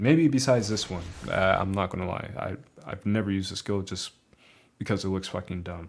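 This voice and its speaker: Here a man speaks at a fairly quick pace, his pitch fairly low with ordinary variation. The recording is very clean, with a silent background. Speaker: gaming youtuber. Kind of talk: game tutorial commentary. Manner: casual.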